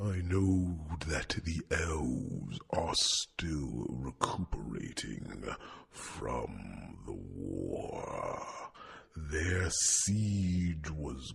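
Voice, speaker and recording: A growling, put-on character voice from a man, very deep and low, at a very slow pace. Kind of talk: ASMR fantasy roleplay. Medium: solo performance. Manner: soft, warm, gently chiding.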